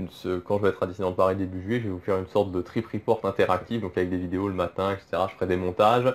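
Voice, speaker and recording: Very fast and fairly low-pitched, a man talks with fairly even intonation. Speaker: Disney travel YouTuber. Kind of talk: casual vlog talk. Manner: hesitant, many fillers.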